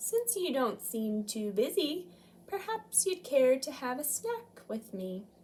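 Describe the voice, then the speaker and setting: A woman puts on a character voice with a high pitch. She talks at a fairly slow pace with very wide pitch swings. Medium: read story. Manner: polite, slow.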